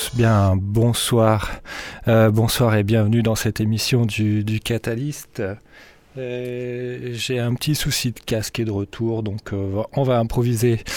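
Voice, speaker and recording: Very slowly and in a flat monotone, a man talks at medium pitch. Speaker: radio DJ. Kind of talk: radio DJ patter over a techno/house mix, casual and relaxed. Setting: radio studio, broadcast on FM. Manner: relaxed, conversational, laid-back; halting, with many fillers (euh) and repeated words.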